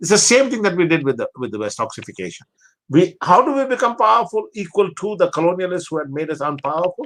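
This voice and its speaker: Very wide pitch swings mark this man's high voice. He speaks at a very fast pace. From Pakistan. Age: 70s. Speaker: theology professor. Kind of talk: interview conversation. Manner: repetitive, halting restarts.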